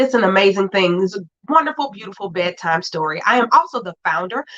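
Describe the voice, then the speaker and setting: A loud, animated woman at a fairly quick pace, with very wide pitch swings and a dry, close sound with no echo. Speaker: educational leadership coach and show host. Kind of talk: live show monologue.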